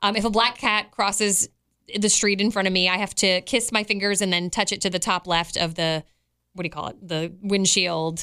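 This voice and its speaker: A woman's medium-pitched voice, bright and sharp in tone, with fairly even intonation and a moderate pace on a very clean recording with a silent background. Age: 40s. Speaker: podcast co-host. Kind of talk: casual chat.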